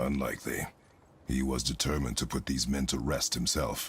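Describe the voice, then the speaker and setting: In a raspy put-on character voice, a man speaks with a very deep, low pitch, monotone, flat intonation, very even loudness and a fairly quick pace. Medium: video game. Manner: terse, gruff.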